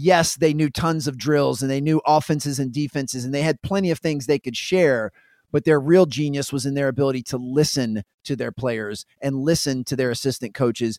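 With a normal speaking voice, a man talks at a fairly quick pace in a fairly high pitch with ordinary pitch variation, recorded very cleanly against a silent background with a dry, close sound and no echo. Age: 40s. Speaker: professional speaker, former basketball trainer. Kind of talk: casual interview.

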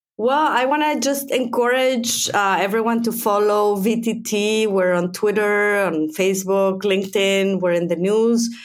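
The speech comes at a fairly slow pace with very even loudness, ordinary pitch variation, hardly any pauses and audible room echo. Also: woman, medium pitch for a woman. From Mexico. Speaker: physicist. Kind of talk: interview.

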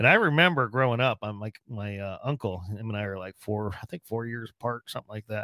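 Dry and close, with no echo, this very clean recording has a silent background. A man with a normal speaking voice and medium pitch talks fairly quickly, with ordinary pitch variation. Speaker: podcast host. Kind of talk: casual interview. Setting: studio.

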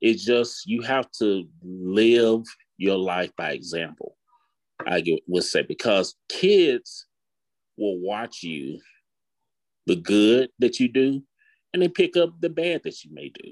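A man speaks at a very slow pace with long, frequent pauses. The sound is dry and close, with no echo. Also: big swings in loudness, very clean recording, silent background. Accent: Alabama. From Huntsville, Alabama. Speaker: parent sharing experience. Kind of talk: casual chat.

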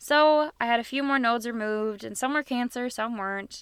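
With an unremarkable speaking voice, a woman speaks fairly quickly at a fairly high pitch with ordinary pitch variation. Her recording is very clean and the background silent. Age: 20s. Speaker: podcast host and cancer survivor. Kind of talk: personal storytelling monologue.

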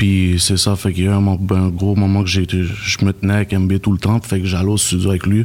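With hardly any pauses, a man talks at a fairly quick pace in a fairly low pitch, his intonation monotone and flat and his loudness very even. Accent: Montreal. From Montreal, Quebec (east end). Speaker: music producer, beatmaker. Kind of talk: casual chat.

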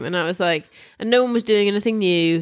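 A woman with a British accent, fairly quick pace and ordinary pitch variation. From England. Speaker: podcast co-host. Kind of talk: casual chat.

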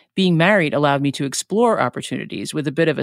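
Speaking very fast in a New York accent, a woman with a very deep, low pitch shows ordinary pitch variation in a very clean recording with a silent background. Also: dry, close sound with no echo. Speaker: podcast host. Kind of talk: scripted solo podcast intro.

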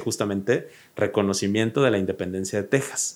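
A man is speaking. His pace is very fast. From Mexico, raised in Oaxaca and Mexico City. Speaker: history content creator. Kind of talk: casual chat.

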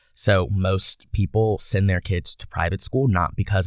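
Over a quiet background, a man with an American accent speaks with a very deep, low pitch and ordinary variation in it. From US South (Baton Rouge, Louisiana). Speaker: university student. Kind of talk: casual interview chat.

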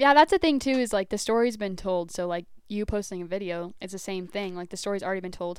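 Talking very fast with hardly any pauses, a woman with an American accent keeps a medium pitch and ordinary pitch variation, though her loudness swings widely. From US Southwest, New Mexico. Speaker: guest. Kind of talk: casual chat. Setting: home studio.

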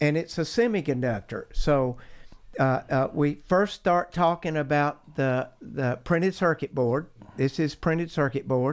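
In an Appalachian Georgia accent, a man talks at a fairly slow pace and fairly high pitch, with ordinary pitch variation and very even loudness. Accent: Southern US (Appalachian Georgia). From US South, north Georgia mountains. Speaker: geologist. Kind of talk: interview.

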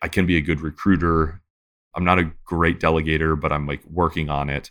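Bright, sharp tone in a monotone with flat intonation, at a fairly quick pace, on a very clean recording with a silent background. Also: man. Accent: American. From US Midwest (Detroit). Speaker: author and startup investor. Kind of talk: casual interview chat.

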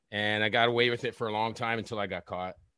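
A man with a normal speaking voice talks at a fairly quick pace. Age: 40s. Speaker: former inmate and drug smuggler. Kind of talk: casual chat.

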